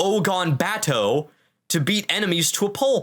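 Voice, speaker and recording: Lively intonation runs through this man's high-pitched voice. He speaks at a fairly slow pace. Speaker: quiz host of gaming podcast. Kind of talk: casual quiz chat among friends. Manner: occasional stutter.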